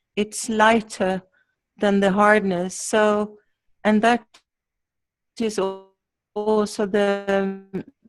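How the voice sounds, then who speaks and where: A woman's medium-pitched, monotone, flat delivery at a very slow pace, full of long, frequent pauses, with music in the background. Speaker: workshop participant.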